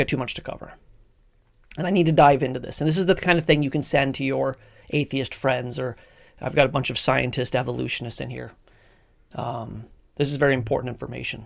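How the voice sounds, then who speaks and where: A man with an American accent and vocal fry, talking at a very fast pace with long, frequent pauses, on a very clean recording with a silent background. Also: medium pitch for a man, big swings in loudness. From Colorado. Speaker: bible teacher. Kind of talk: teaching talk. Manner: animated; halting.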